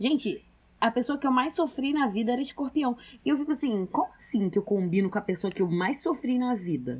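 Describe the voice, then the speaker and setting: On a very clean recording with a silent background, a woman talks at a fairly quick pace in a high pitch, with very wide pitch swings and very even loudness. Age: 20s. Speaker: podcast co-host. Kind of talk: casual chat.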